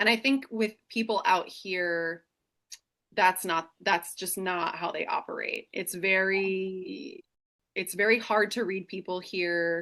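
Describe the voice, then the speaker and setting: Loud and very slow, a woman speaks at a medium pitch with ordinary pitch variation. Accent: American. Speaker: single mother sharing her life story. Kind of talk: casual chat. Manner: animated.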